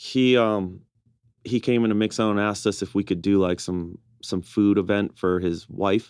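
At a moderate pace, a man with an American accent and an unremarkable speaking voice talks in a fairly low pitch with fairly even intonation. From Milwaukee, Wisconsin. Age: 40s. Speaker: restaurant owner. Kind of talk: casual chat.

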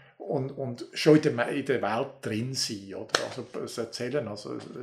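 A man of medium pitch speaks with ordinary pitch variation. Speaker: folklore professor. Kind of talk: interview. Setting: university office. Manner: animated.

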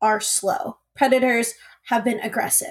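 A woman talks at a moderate pace. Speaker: guest, poli sci graduate. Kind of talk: casual podcast discussion.

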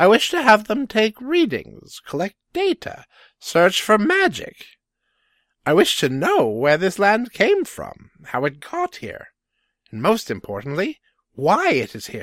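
A put-on character voice speaks at a fairly slow pace with a fairly high pitch. The recording is very clean, with a silent background. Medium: audio drama. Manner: measured, deliberate.

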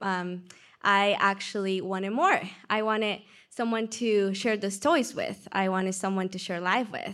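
A woman with a Peruvian accent speaks at a medium pitch, fairly slowly, with fairly even intonation. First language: Spanish. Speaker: church member sharing testimony. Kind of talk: testimony.

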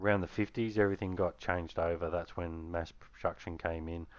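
A man talks with an Australian accent. His intonation is monotone and flat. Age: 40s. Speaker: gamer and racer. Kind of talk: casual chat.

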